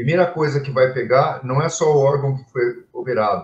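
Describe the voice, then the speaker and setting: This man's somewhat breathy voice sits fairly high, with ordinary pitch variation and a moderate speed. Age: 60s. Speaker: physician, lung and intensive care specialist. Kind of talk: interview in a live stream. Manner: halting, with many fillers and repetitions.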